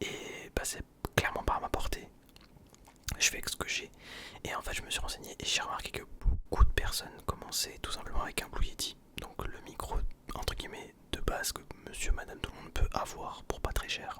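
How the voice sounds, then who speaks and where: Whispering against noticeable background noise, a man leaves long, frequent pauses, with big swings in loudness. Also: moderate pace. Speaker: ASMR youtuber. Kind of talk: ASMR whisper talk. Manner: hesitant.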